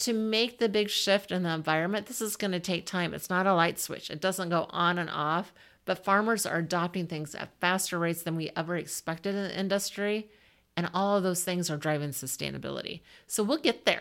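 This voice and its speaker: In an American accent, a woman with an ordinary speaking voice talks at a fairly quick pace, medium in pitch with ordinary pitch variation, on a very clean recording with a silent background. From Southwest Iowa. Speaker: agricultural industry executive. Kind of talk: interview.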